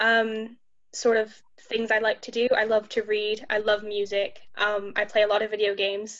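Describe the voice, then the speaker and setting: At a moderate pace, a woman with a Midwestern accent talks in a fairly high pitch with monotone, flat intonation. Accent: American Midwest. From Ohio, US. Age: 20s. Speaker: university student, patient. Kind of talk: panel discussion.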